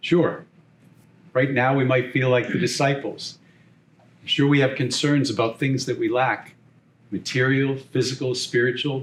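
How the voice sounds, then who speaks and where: Somewhat breathy and in a medium pitch, a man with a Boston accent speaks in a flat monotone with long, frequent pauses. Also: fairly slow pace. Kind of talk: homily.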